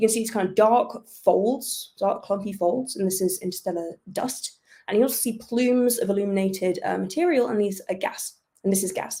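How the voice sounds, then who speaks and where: With a British accent, a woman speaks at a fairly quick pace and a fairly high pitch, her dark, mellow tone somewhat breathy and her pitch varying in an ordinary way. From United Kingdom. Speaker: astrophysicist. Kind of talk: public science talk. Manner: hesitant, with many fillers.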